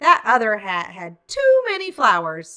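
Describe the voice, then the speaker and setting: Using a put-on character voice, a woman lets her pitch swing very widely. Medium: read story. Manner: chirpy.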